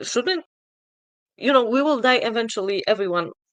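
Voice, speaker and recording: A woman with a non-native accent and lively intonation, in a dry, close sound with no echo. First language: not English. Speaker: atheist questioner. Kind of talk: debate. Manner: halting.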